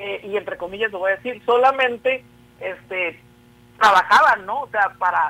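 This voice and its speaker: With a Sinaloan accent, a man uses a raised, projected voice, keeping a moderate pace and ordinary pitch variation. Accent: Sinaloa. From Mexico, Sinaloa (Culiacán). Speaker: social science researcher. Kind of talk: interview. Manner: hesitant, many fillers.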